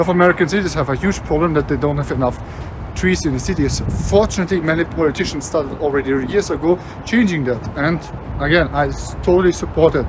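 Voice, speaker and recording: Someone with a non-native accent talks at a very fast pace over noticeable background noise. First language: not English. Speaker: travel vlogger. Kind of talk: walking vlog narration. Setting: outdoors, walking in city.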